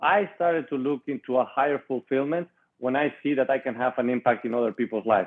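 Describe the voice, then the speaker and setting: A man with a Spanish accent at a very fast pace. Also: medium pitch for a man, ordinary pitch variation. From Spain, Madrid. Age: 20s. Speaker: entrepreneur and author. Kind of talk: interview.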